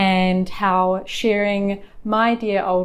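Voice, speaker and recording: She speaks with a New Zealand accent at a medium pitch. Her intonation stays flat and monotone. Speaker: lifestyle vlogger. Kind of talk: casual talk to camera. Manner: gentle, warm.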